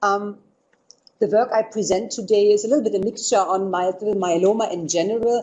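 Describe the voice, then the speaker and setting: A woman with a non-native accent and fairly even intonation. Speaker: physician researcher. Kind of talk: lecture. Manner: loud.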